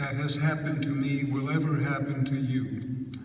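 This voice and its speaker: A man speaks with monotone, flat intonation. Noticeable background noise and audible room echo fill the recording. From Hungary. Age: 80s+. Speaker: Holocaust survivor speaker. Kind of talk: talk to high school students. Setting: school auditorium with student audience.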